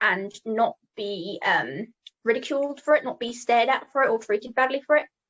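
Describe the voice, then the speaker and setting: Her high pitch and ordinary pitch variation come through as a woman with a British accent speaks at a moderate pace. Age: 18. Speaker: mental health advocate. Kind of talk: interview. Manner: hesitant, many fillers.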